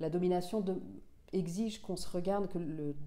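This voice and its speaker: Her voice is fairly low, dark and mellow. The woman talks at a fairly quick pace with fairly even intonation. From Senegal (Dakar area), Finnish-born. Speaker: author and journalist; journalist. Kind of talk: interview. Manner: halting, with frequent repetitions and fillers. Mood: calm, reflective. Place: home room.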